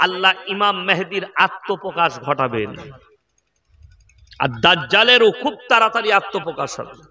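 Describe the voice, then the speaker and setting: A man with a high pitch uses a raised, projected voice and lively intonation. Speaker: Islamic preacher. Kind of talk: Islamic sermon at a public gathering. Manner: fiery, rhetorical, loud.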